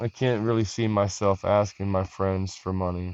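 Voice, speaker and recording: A man's fairly low voice moves along with fairly even intonation. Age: 40s. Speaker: vlogger. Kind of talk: personal vlog monologue. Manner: casual, halting.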